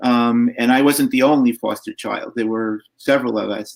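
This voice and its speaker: An unremarkable speaking voice, a man with an American accent talks in a medium pitch with fairly even intonation, in a dry, close sound with no echo. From New York, Long Island. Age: 60s. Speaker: foster care advocate. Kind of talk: interview.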